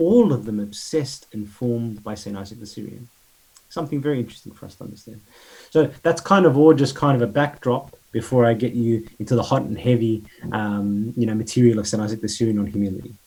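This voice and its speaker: Talking at a very fast pace, a man with an Australian accent uses a medium pitch with ordinary pitch variation and big swings in loudness. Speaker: priest giving a talk. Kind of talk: lecture.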